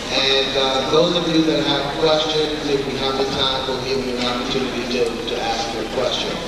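Over loud background noise and audible room echo, a man talks at a moderate pace with hardly any pauses. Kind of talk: assembly announcement. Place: hall.

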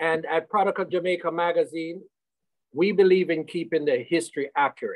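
The speaker has an American accent and moves at a fairly quick pace over a quiet background. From United States. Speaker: magazine publisher, reggae historian. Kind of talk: radio panel discussion. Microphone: video call.

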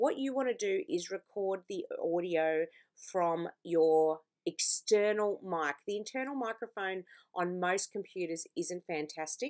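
With a slightly mellow tone, a woman speaks at a fairly slow pace and with lively intonation. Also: fairly low pitch for a woman.

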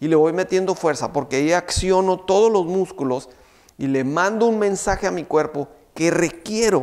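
Over a quiet background, a man with a high pitch talks at a moderate pace with ordinary pitch variation. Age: 50s. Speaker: fitness trainer. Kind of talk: tutorial. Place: studio. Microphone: lapel.

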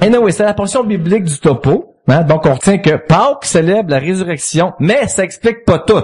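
A man with a Quebec accent talks in a high voice with lively intonation and hardly any pauses. Noticeable background noise sits behind him. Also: moderate pace. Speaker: comedy writer, former business executive. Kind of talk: casual chat. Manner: jokey.

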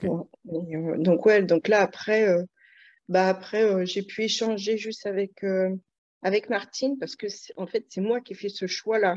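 Long, frequent pauses break up the fairly slow, fairly evenly intoned speech against a quiet background. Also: woman. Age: 40s. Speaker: client giving a weight-loss testimonial. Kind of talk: testimony.

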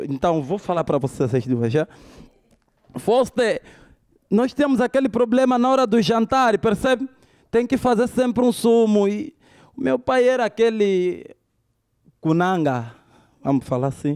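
Against a quiet background, a man with an Angolan accent speaks at a high pitch and a fairly slow pace, with very wide pitch swings, very even loudness, and long, frequent pauses. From Luanda, Angola (Cazenga). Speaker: stand-up comedian. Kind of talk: stand-up comedy. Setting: stage with live audience. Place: stage. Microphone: handheld.

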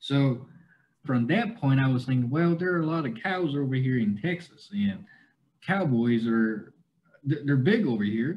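A man with a Southern US accent speaks at a moderate pace, his voice fairly high and somewhat breathy. His intonation is lively, with light background noise behind him. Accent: adopted Southern US. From China, Kunming, Yunnan; Yunnan, China. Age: 20s. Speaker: cowboy content creator. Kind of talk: interview. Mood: relaxed, friendly. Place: home room. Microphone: video call.

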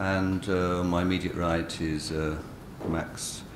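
A man speaks in a very deep, low voice over noticeable background noise. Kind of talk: conference introduction. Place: hall. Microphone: podium.

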